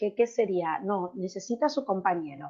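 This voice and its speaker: Her tone animated, a woman talks at a medium pitch with ordinary pitch variation. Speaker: pharmaceutical researcher presenting a product. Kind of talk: webinar presentation. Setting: online webinar.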